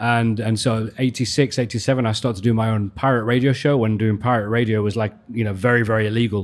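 A man's very fast, monotone, flat delivery with hardly any pauses. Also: medium pitch for a man. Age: 40s. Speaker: radio DJ and music journalist. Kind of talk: casual chat.

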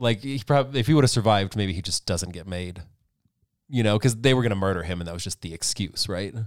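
Delivered at a fairly quick pace, a normal speaking voice shows ordinary pitch variation and big swings in loudness. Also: man, fairly low pitch for a man. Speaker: podcast host. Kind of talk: casual banter.

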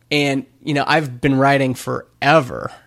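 This is an ordinary speaking voice from a man, fairly high in pitch with fairly even intonation. The recording is very clean, with a silent background. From Canada, Alberta (Stony Plain). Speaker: indie entrepreneur, startup founder. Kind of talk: casual chat.

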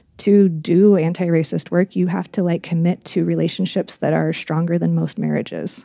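A woman speaks at a moderate pace in a fairly low pitch with a dark, mellow tone. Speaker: therapist and podcast co-host. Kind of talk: casual chat. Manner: quiet talker, loud laugher.

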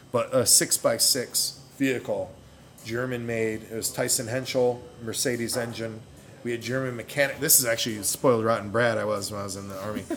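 A man with an American accent talks at a fairly quick pace in an unremarkable speaking voice, with medium pitch and fairly even intonation. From New York. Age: 40s. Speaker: brewing instructor and military veteran. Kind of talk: casual interview. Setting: bottle shop.

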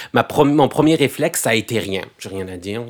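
This man speaks with a plain, everyday voice. His pace is fairly quick and his pitch varies in an ordinary way. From France, Algerian heritage. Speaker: poet and stage performer. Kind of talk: interview.

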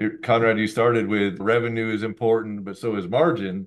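It is a plain, everyday voice. A man talks with medium pitch at a fairly quick pace. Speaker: podcast co-host. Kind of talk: casual chat.

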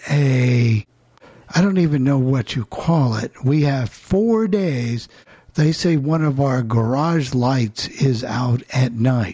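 Very slow, somewhat breathy speech with lively intonation. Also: man. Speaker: call-in show host. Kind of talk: casual chat. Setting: video call.

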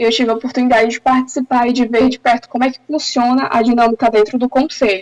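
A woman with a fairly high pitch speaks in an ordinary speaking voice, with a dry, close sound with no echo. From Brazil, Santarém, Pará (Amazon region). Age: 20s. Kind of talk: interview.

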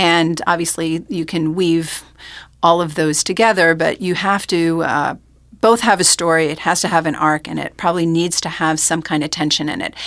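This is an unremarkable speaking voice in an American accent. It moves at a moderate pace with fairly even intonation, in a very clean recording with a silent background. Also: woman, fairly low pitch for a woman. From New York, Rockland County. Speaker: oral historian. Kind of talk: interview. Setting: studio.

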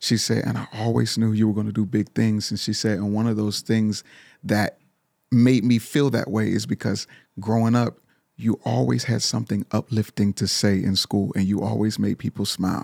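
A man talks at a moderate pace in a fairly low voice with ordinary pitch variation. The sound is dry and close, with no echo. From Pittsburgh, Pennsylvania. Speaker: singer and motivational speaker. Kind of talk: casual interview chat. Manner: animated.

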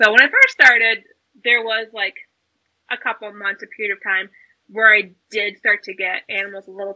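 A woman's medium-pitched, monotone, flat voice with an American accent. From US South, South Carolina. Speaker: reptile educator and YouTuber. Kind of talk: casual chat.

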